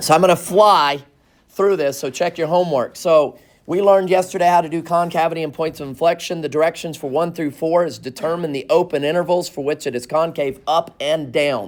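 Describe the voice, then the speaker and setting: The recording is very clean, with a silent background. A man with a fairly high pitch talks at a fairly quick pace with fairly even intonation. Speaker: math teacher. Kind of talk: classroom lecture. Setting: classroom with students. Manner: fast.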